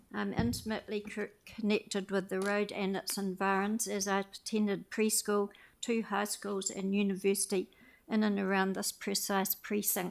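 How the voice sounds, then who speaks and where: A woman with a New Zealand accent at medium pitch, moderate pace and monotone, flat intonation, on a very clean recording with a silent background. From New Zealand, Christchurch. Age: 80s+. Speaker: public submitter at council meeting. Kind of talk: public submission, partly read aloud. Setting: community board meeting.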